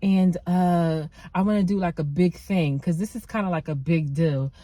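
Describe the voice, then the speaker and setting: Her tone dark and mellow, a woman speaks in a somewhat breathy voice with ordinary pitch variation. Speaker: nail tech vlogger. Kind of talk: vlog monologue. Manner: fast.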